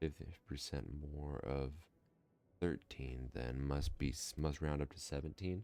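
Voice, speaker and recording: A man's very deep, low voice at a fairly slow pace, with ordinary pitch variation. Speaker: gaming let's play commentator. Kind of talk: casual gameplay commentary. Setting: home recording, mic not dialed in. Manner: smooth, sultry.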